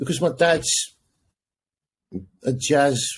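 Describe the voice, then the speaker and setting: A man's somewhat breathy, medium-pitched voice with an English accent. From England, partly raised in the Netherlands. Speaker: jazz saxophonist and music professor. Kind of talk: casual interview chat.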